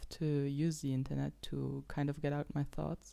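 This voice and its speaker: A dark, mellow voice with a Luxembourgish accent at a fairly slow pace, on a very clean recording with a silent background. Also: woman. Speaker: podcast host. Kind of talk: casual monologue. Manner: halting.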